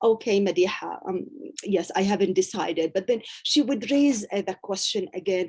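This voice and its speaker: This woman's voice is dark, mellow and somewhat breathy. Her intonation is lively. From Gaza, Palestine. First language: Arabic. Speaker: university professor and author. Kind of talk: interview answer.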